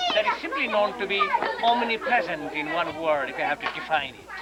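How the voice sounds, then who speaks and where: A raised, projected voice at a fairly quick pace, very wide pitch swings, audible room echo and crowd noise in the background. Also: man. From Nepal, Kathmandu. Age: 50s. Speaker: tour guide. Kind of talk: guided tour explanation. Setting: outdoors.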